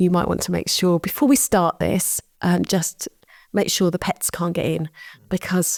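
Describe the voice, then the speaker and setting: A woman's ordinary speaking voice, fairly low in pitch, at a moderate pace, with a dry, close sound with no echo on a very clean recording with a silent background. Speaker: podcast co-host and coach. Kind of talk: casual chat.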